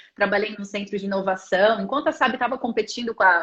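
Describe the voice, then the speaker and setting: A woman has an unremarkable speaking voice with a fairly high pitch. She talks at a fairly quick pace with ordinary pitch variation. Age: 30s. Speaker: interviewer, international careers content creator. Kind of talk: interview on live stream.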